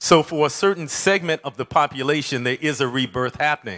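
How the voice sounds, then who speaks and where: Against a quiet background, a man with an American accent speaks in a bright, sharp tone at a fairly high pitch. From US Midwest, Detroit; Michigan. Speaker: community food activist; conference speaker. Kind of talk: conference talk. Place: hall. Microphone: handheld.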